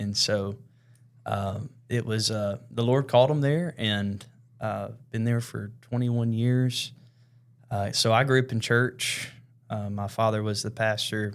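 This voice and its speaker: In a very clean recording with a silent background, a man with a Southern US accent talks at a fairly slow pace, medium pitch and fairly even intonation. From West Tennessee (Jackson). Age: 20s. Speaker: worship leader. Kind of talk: casual chat. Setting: studio.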